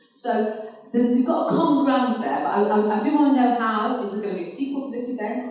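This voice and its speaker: A woman talks at a very fast pace in a fairly high pitch, her intonation lively. There is audible room echo. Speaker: campaigner. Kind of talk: conference speech.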